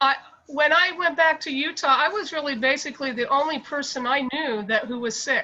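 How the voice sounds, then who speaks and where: A woman talks at a fairly quick pace in a high, raised and projected voice with ordinary pitch variation. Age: 60s. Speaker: meeting participant. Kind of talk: testimony. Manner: halting.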